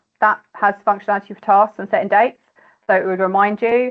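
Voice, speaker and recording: A woman speaks in a British accent at a fairly quick pace. Her pitch varies in an ordinary way. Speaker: mortgage adviser. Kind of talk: online workshop Q&A. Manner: fast.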